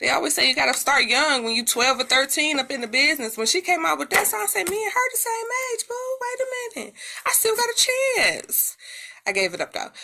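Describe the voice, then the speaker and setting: Her voice raised and projected, a woman speaks in an animated tone at an extremely high pitch. Her pitch swings very widely. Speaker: music commentator YouTuber. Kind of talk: casual commentary.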